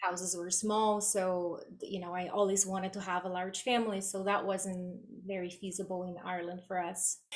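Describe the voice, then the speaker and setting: A woman speaks at a moderate pace in a Brazilian accent. Her medium-pitched voice stays monotone and flat. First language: Portuguese. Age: 40s. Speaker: guest mother with chronic illness. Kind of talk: podcast interview.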